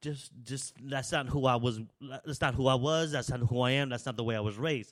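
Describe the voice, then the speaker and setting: Speaking with an American accent at a moderate pace, a man keeps a medium pitch with ordinary pitch variation. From San Francisco, US West Coast. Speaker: podcast host. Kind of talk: casual monologue. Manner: halting, repetitive.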